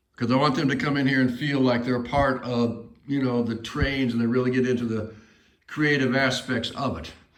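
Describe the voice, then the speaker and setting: Audible room echo surrounds a man talking at a fairly quick pace with fairly even intonation. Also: medium pitch for a man. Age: 60s. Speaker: model railroad hobbyist and shop builder. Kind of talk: casual video walkthrough. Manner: casual, hesitant with fillers.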